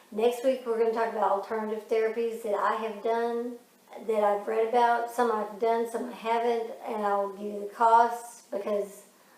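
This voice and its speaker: There's audible room echo around a woman with a fairly high voice. She keeps a moderate pace and a flat, monotone intonation. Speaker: vlogger with Parkinson's. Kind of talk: casual chat.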